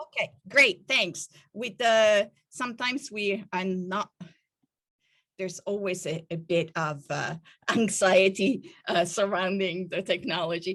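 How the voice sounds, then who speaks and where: Speaking in an Italian accent, a woman with a medium pitch keeps a fairly slow pace and ordinary pitch variation. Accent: foreign Italian. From Italy. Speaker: professor. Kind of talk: academic keynote talk. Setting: video call.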